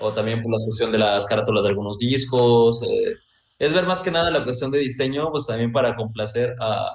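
A plain, everyday voice at a moderate pace. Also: man. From Mexico, Veracruz. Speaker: saxophonist in a band. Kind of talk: interview.

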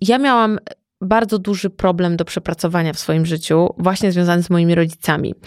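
A woman with a fairly low pitch and ordinary pitch variation is heard on a very clean recording with a silent background and a dry, close sound with no echo. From Masuria, Poland. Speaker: entrepreneur and stylist. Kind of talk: casual interview conversation.

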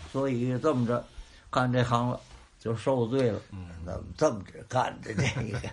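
A somewhat breathy man speaks at a moderate pace against a quiet background. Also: medium pitch for a man, ordinary pitch variation. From Tianjin. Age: old. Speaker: crosstalk comedian. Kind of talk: interview.

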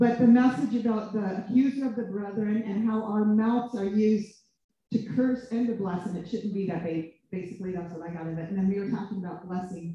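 This is an unremarkable speaking voice at a fairly quick pace with ordinary pitch variation. Its loudness swings widely. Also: woman, medium pitch for a woman. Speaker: minister. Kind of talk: prayer. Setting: stage with audience.

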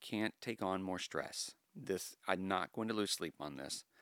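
This man has an ordinary speaking voice, fairly low in pitch, delivered at a moderate pace with a dry, close sound and no echo. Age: 40s. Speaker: podcast host. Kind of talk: casual chat.

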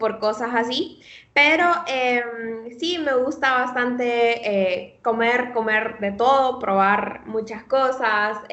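Delivery is very slow with ordinary pitch variation, and room echo can be heard. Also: woman. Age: 20s. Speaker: nutrition student. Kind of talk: casual interview.

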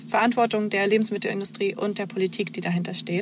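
Noticeable background noise runs under a woman speaking with fairly even intonation. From eastern Germany, near Magdeburg (Saxony-Anhalt). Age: 20s. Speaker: social media manager. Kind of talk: interview.

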